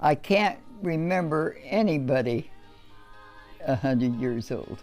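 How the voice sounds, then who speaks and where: Over music in the background, the speaker talks at a very slow pace with lively intonation. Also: woman, very deep, low pitch for a woman. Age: 80s+. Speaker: World War Two Navy veteran. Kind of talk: interview answer.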